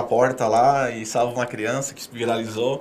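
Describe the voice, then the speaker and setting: Someone speaks at a moderate pace, with audible room echo and noticeable background noise. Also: man. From southern Brazil (Paraná, Rio Grande do Sul, Santa Catarina). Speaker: public speaker and philanthropist. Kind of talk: casual interview.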